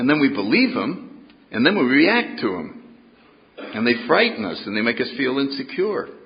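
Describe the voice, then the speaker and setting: Noticeable background noise sits under a man speaking at a moderate pace with an American accent. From New England, US (New Haven, Connecticut). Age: 80s+. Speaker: AA speaker. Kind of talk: recovery talk to an audience. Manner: engaging and dynamic.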